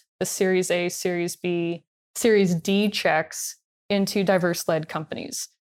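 A woman talks with a Californian accent in a very clean recording with a silent background. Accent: Californian American. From Long Beach, California. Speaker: venture capital investor. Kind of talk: interview.

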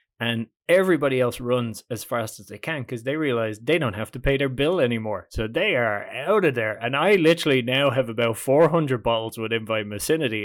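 The speaker has a Dublin accent. The pace is fairly quick, with ordinary pitch variation. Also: man. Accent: Irish (Dublin). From Ireland, Dublin. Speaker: comedian. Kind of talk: casual chat. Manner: animated.

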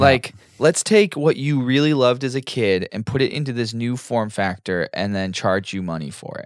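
A man uses a plain, everyday voice at a medium pitch and a moderate pace, with hardly any pauses. His loudness swings widely. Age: 30s. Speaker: podcast host. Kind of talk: casual chat.

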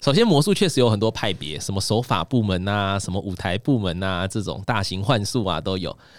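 A man with a fairly low pitch talks with hardly any pauses and ordinary pitch variation. The recording is very clean, with a silent background. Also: fairly quick pace. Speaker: magician and livestreaming executive. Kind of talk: casual interview chat. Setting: studio. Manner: crisp clear articulation.

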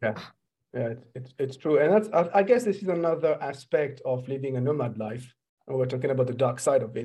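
A man speaks at a fairly quick pace in a French accent, fairly high in pitch. His voice is somewhat breathy with a dark, mellow tone and ordinary pitch variation. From France. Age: 40s. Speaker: podcast host and entrepreneurship coach. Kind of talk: interview.

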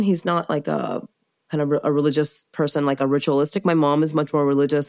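A woman speaks very fast with an American accent. The sound is dry and close with no echo, over a quiet background. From US, small-town America, later Maryland. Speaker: civil rights attorney. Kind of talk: casual interview.

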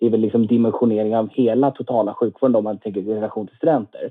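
A man at a very fast pace. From Lund, Skåne, southern Sweden. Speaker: medical student and student union chair. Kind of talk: podcast interview.

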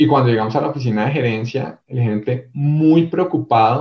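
A man talks at a moderate pace in a medium pitch, somewhat breathy. His pitch varies in an ordinary way. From Bogotá, Colombia. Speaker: corporate HR executive. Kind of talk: interview storytelling.

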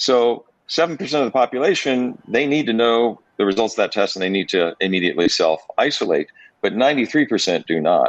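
With a plain, everyday voice, a man talks at a moderate pace and medium pitch, his intonation lively and his loudness very even. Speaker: businessman. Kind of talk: friendly interview conversation. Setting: radio show interview.

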